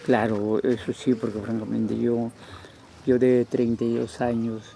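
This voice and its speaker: A man talks at a fairly slow pace in a medium pitch, his intonation monotone and flat. Noticeable background noise sits under the voice. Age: 70s. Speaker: local elder. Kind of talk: interview. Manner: halting.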